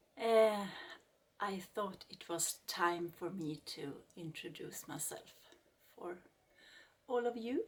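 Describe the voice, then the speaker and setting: With a Swedish accent, a woman talks at a very slow pace, her loudness swinging widely, her pitch varying in an ordinary way, and long pauses coming often. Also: medium pitch for a woman. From Sweden. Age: 40s. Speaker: craft YouTuber. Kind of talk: casual vlog introduction. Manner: halting.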